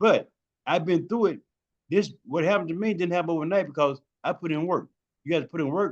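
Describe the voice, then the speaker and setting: Leaving long, frequent pauses, a man with a high pitch speaks at a very fast pace with ordinary pitch variation. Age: 70s. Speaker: music industry veteran, rapper's father. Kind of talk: interview. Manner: halting, repeats words.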